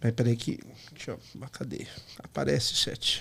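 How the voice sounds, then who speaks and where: A man's fairly slow speech with vocal fry. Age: 30s. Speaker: podcast host. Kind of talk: casual chat. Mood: playful, upbeat. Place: studio. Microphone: studio mic.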